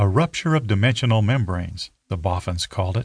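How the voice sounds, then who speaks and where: A man's fairly low, somewhat breathy voice in a dramatic tone, with ordinary pitch variation, a moderate pace and a quiet background. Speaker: audiobook narrator. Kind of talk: audiobook narration of dark fantasy, scripted and read aloud. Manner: dramatic, building suspense with measured pacing.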